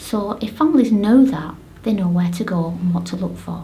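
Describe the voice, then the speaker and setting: A woman with a Lancashire accent at a moderate pace, with audible room echo and noticeable background noise. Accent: Bolton. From northern England, Bolton. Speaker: parent advocate and blogger. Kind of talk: video blog talk.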